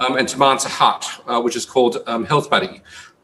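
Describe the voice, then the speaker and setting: In an Australian accent, a man speaks at a fairly quick pace and medium pitch. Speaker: company CEO presenting. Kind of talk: investor presentation. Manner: halting, many fillers.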